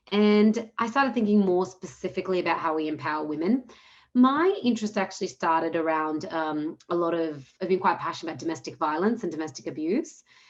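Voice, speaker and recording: A woman's fairly low-pitched voice with lively intonation. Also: fairly quick pace. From Australia, Melbourne. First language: Punjabi. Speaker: social entrepreneur. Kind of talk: webinar panel talk.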